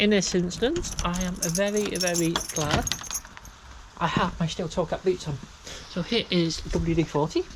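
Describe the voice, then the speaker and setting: With noticeable background noise behind her, a woman talks at a fairly low pitch and a moderate pace, her intonation fairly even and her pauses long and frequent. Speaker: workshop DIY vlogger. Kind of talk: casual workshop vlog narration. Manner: talks quietly at times.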